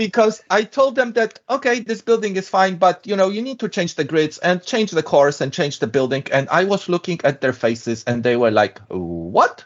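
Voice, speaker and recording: A man with a European accent speaks at a moderate pace, his high voice moving through very wide pitch swings. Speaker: structural engineer. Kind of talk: interview.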